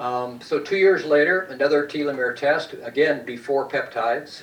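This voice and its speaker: A man with a fairly high pitch talks at a fairly quick pace with ordinary pitch variation. Noticeable background noise and audible room echo fill the recording. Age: 70s. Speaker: lecturer on peptides. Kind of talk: lecture. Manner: halting.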